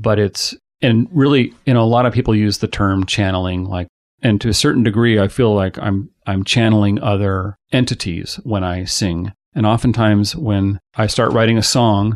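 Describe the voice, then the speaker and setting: A fairly low-pitched man's voice with an American accent, moderate pace, and ordinary pitch variation, in a dry, close sound with no echo against a quiet background. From Ellensburg, Washington, US Pacific Northwest. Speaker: musician, singer-songwriter and drummer. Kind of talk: casual interview conversation. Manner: hesitant, filler-heavy, conversational.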